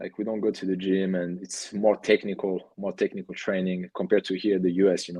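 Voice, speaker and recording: A man with a strong French accent talks fairly quickly in a very deep, low pitch, with monotone, flat intonation and hardly any pauses. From France, Cannes. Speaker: professional soccer goalkeeper. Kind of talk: podcast interview. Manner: halting, with fillers and repeats.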